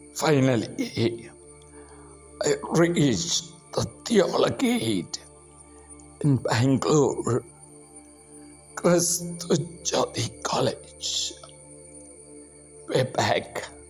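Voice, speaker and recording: Music plays behind a man who speaks at a very slow pace, leaving long, frequent pauses. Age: 60s. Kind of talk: personal faith testimony.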